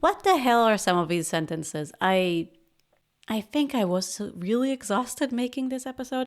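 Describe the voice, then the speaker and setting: Speaking at a moderate pace with a non-native accent, a woman uses a fairly high pitch and very wide pitch swings. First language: not English. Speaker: podcast host, product manager. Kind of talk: casual reaction commentary.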